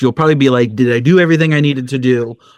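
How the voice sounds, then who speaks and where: A man's animated, medium-pitched voice with ordinary pitch variation. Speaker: cruise travel advisor. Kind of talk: casual podcast chat. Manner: fast when excited.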